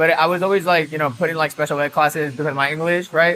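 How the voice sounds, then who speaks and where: Speaking very fast, a man uses a fairly high pitch with ordinary pitch variation. He has a Spanish accent. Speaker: DJ and music producer. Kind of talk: casual interview chat. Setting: nightclub on location. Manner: animated, filler-heavy.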